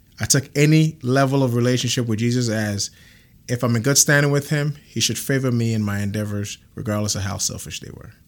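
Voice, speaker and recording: An unremarkable speaking voice belongs to a man with a medium pitch, talking at a fairly quick pace with ordinary pitch variation and big swings in loudness. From Ghana, then Canada from age nine. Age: 30s. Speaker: church member sharing testimony. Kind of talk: testimony.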